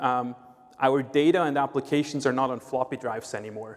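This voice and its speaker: This man speaks with a Swiss accent and a fairly high pitch. His pace is moderate. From Switzerland. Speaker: sales executive at a tech company. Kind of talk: conference presentation.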